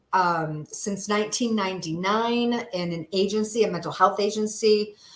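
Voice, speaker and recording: With an American accent, a woman speaks at a moderate pace and medium pitch in an unremarkable speaking voice with fairly even intonation. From upstate New York. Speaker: therapist and health coach. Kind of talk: presentation in a livestream interview. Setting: livestream.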